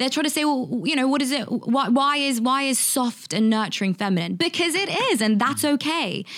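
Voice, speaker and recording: In a London accent, a woman with a high voice talks at a fairly quick pace with lively intonation. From England, London. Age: 20s. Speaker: author and content creator. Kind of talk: casual interview chat.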